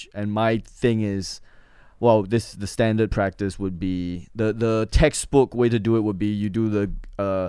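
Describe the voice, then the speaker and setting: On a very clean recording with a silent background, a man with an Australian accent speaks in a fairly low voice with a dark, mellow tone and fairly even intonation. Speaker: comedian. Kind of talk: casual chat.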